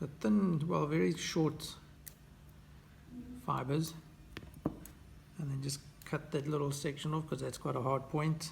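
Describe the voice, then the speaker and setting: Somewhat breathy and relaxed in tone, a man speaks at a fairly high pitch with fairly even intonation. His pace is fairly slow with long, frequent pauses, over light background noise. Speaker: fly tier. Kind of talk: tutorial. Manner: relaxed, with hesitations. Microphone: phone near.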